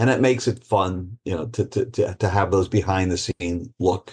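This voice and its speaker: A man's somewhat breathy voice against a quiet background. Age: 60s. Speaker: retired judge and author. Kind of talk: casual chat.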